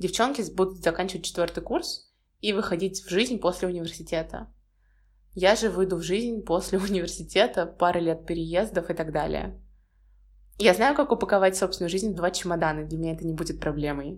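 A woman talks at a fairly quick pace in a plain, everyday voice, fairly low in pitch with ordinary pitch variation. The recording is very clean, with a silent background. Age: 20s. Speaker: podcaster, university student. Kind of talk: solo podcast monologue.

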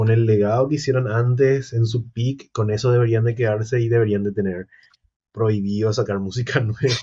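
A man with a medium-pitched, somewhat breathy voice speaks at a moderate pace. His intonation is fairly even and his loudness very even. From Paraguay, San Lorenzo area. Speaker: content creator. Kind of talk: casual chat.

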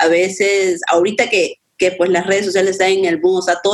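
A woman's medium-pitched voice moves at a moderate pace, flat and monotone in intonation. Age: 20s. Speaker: graphic designer and photographer. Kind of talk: casual chat.

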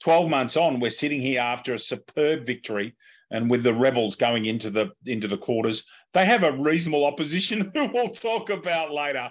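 The speaker is a man in an Australian accent. He talks at a moderate pace. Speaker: podcast host. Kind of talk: casual chat.

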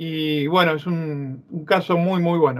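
A man talks at a high pitch. His intonation is fairly even. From Argentina. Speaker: ufologist and author. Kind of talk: interview.

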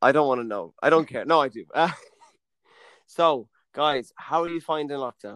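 A man with a western Irish accent speaks at a moderate pace and a fairly high pitch, with ordinary pitch variation, big swings in loudness and long, frequent pauses, in a very clean recording with a silent background. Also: dry, close sound with no echo. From Mayo, west of Ireland. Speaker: podcast co-host, actor. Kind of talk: casual chat, drinking banter.

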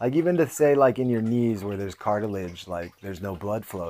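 This man has a fairly low pitch and a Californian accent. His intonation is lively. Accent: Californian American. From US West Coast, San Jose. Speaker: podcast host and fighter. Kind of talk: casual monologue.

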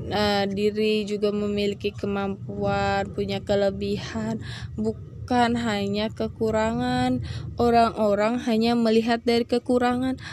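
Over noticeable background noise, the woman's speech moves at a very slow pace. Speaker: student. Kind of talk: solo podcast talk. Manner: halting.

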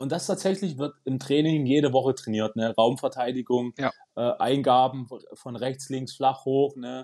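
Moving at a moderate speed, the speaker has fairly even intonation and a dark, mellow tone. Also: man. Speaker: goalkeeping coach and physio. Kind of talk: casual football analysis chat.

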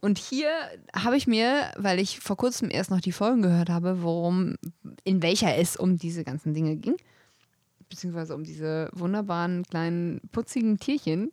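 A woman's plain, everyday voice at medium pitch, moderate in pace, lively in intonation, with a dry, close sound and no echo. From German village. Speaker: podcast co-host. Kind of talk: casual chat.

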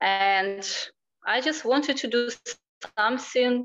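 A woman at a very slow pace. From Ukraine. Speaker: fitness therapist and psychology student. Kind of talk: interview. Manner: hesitant.

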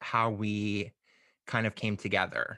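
Very slowly, a man speaks at a medium pitch in a bright, sharp tone, the sound dry and close with no echo against a quiet background. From US South. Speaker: podcast host and drag performer. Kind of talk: casual interview.

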